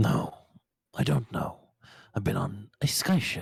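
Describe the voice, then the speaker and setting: A man puts on a character voice at medium pitch. He speaks at a fairly slow pace. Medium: actual play. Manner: suspicious, brusque.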